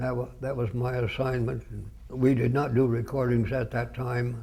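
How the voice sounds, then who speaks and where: A man's somewhat breathy voice, dark and mellow in tone, with monotone, flat intonation. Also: medium pitch for a man, moderate pace. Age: 80s+. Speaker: retired radio broadcaster. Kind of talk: oral history interview answer.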